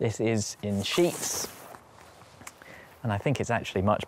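A man's slightly mellow voice with fairly even intonation

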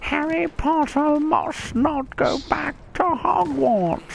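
A put-on, squeaky character voice with a high pitch drags along at a very slow pace over clear background noise.

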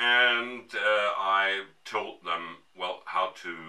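A man talks with a fairly low pitch while noticeable noise sits in the background. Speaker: woodturner. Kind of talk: tutorial narration.

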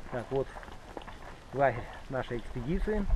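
Over light background noise, a man talks at a fairly slow pace with lively intonation, and the sound is dry with no echo. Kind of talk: casual travel vlog narration. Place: open country. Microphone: phone near.

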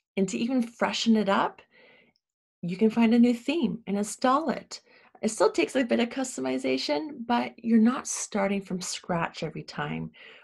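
A somewhat breathy woman with a Canadian accent swings her pitch very widely against a quiet background. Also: fairly high pitch for a woman, moderate pace. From Ontario, Canada. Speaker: web design business owner. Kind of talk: tutorial. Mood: enthusiastic, friendly. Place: home room.

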